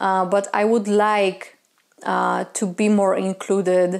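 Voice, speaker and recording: A fairly slow pace with monotone, flat intonation and a Polish accent. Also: woman. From Poland. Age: 30s. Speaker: witchcraft content creator. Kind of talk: community discussion monologue. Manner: hesitant, many filler sounds.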